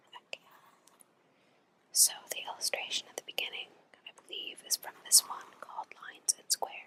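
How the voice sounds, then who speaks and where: A woman whispers at a fairly quick pace with long, frequent pauses and big swings in loudness, the sound dry and close with no echo. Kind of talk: ASMR whispered poetry reading. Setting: home recording with headphone microphone. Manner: whispered, soft-spoken.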